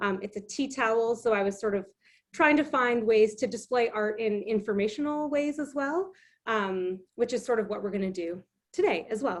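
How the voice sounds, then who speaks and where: An unremarkable speaking voice from a woman with a Canadian accent, fairly high pitch, lively intonation and a moderate pace. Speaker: illustrator and craft instructor. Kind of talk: online craft demonstration.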